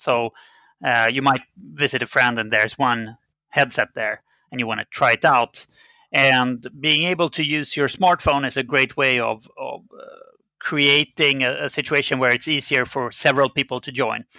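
With a bright, sharp tone and fairly even intonation, a man at a medium pitch speaks in a dry, close sound with no echo on a very clean recording with a silent background. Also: moderate pace. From Sweden. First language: Swedish. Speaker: game company CEO. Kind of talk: interview. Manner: hesitant with fillers.

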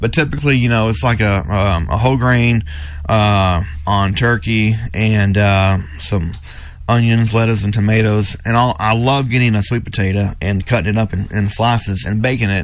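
With audible room echo, a man talks at a fairly low pitch and with ordinary pitch variation. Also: moderate pace, very even loudness. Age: 40s. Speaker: gym owner. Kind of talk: radio interview.

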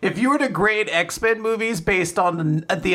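Raised and projected, a man's high-pitched voice has a bright, sharp tone and lively intonation at a moderate pace. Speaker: manga podcast co-host. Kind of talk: casual podcast discussion.

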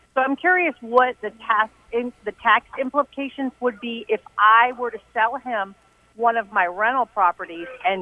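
A normal speaking voice with an American accent. Its pitch varies in an ordinary way, and the pace is moderate. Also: woman, fairly high pitch for a woman. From Maryland. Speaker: landlord, caller. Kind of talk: phone-in question. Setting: phone call.

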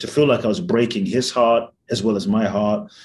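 Quiet surroundings and a man speaking. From London. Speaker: mindfulness teacher and author. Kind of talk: interview.

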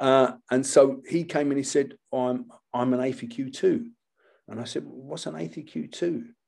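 A man with a British accent speaks at a fairly slow pace, his volume swinging widely. His tone is dark and mellow, with medium pitch and ordinary pitch variation. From Britain. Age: 70s. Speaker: martial arts instructor. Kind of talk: casual chat.

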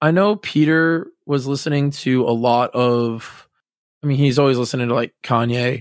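A man with an American accent speaks at a moderate pace with ordinary pitch variation, his voice dry and close with no echo. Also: very clean recording, silent background. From Massachusetts, US. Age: 20s. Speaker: drummer. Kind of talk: casual chat. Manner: halting.

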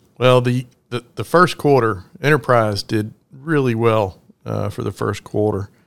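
This is a plain, everyday voice. A man speaks fairly slowly at a medium pitch with ordinary pitch variation. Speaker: podcast host and trucking executive. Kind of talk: interview.

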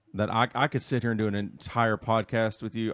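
A man speaks in a plain, everyday voice, fairly low in pitch. The sound is dry and close, with no echo. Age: 30s. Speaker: musician. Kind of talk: casual chat.

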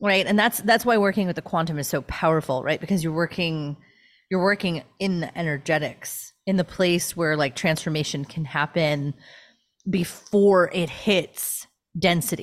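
A woman with an unremarkable speaking voice and a fairly low pitch talks at a moderate pace on a very clean recording with a silent background. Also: ordinary pitch variation. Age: 40s. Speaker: spiritual teacher. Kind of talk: casual chat.

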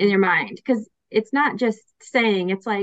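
A woman speaks in a normal speaking voice, fairly high in pitch with lively intonation. The sound is dry and close, with no echo. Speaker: podcast host. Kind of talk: interview.

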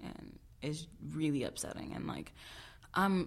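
Speaking with an American accent, this woman has a very deep, low pitch. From Chicago, south side. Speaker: student activist. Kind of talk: casual interview.

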